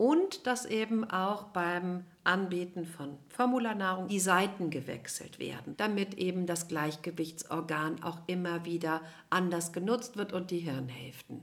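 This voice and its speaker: A woman speaks fairly slowly in a normal speaking voice, her pitch fairly low with ordinary pitch variation. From Cologne, western Germany. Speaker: nutrition scientist and family therapist. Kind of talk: interview.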